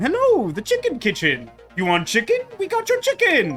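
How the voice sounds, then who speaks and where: Clear background music behind a put-on character voice at a moderate pace. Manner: cheerful, hawking food.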